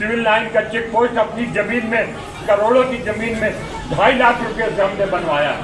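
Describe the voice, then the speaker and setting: A man talks in a high pitch with fairly even intonation. There is noticeable background noise and audible room echo. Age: 70s. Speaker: former politician. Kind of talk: protest statement to reporter. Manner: loud.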